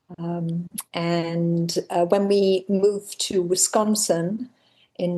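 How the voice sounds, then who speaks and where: A medium-pitched woman's voice with a dark, mellow tone. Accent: English. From England. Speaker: member of a women's ski training group. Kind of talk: casual interview chat.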